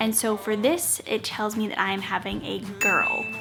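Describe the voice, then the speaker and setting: A woman's whisper over background music. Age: 20s. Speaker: mom vlogger. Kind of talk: casual vlog chat. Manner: whispering.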